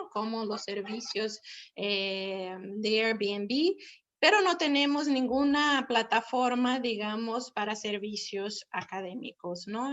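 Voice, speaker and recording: At a very slow pace, a woman with a Brazilian accent speaks in a fairly high pitch with ordinary pitch variation. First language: Portuguese (speaking Spanish). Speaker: professor and platform founder. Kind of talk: webinar presentation.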